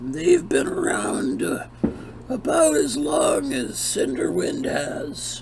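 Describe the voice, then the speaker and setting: A raspy, put-on character voice goes at a very slow pace over clear background noise. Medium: actual play. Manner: warm, folksy.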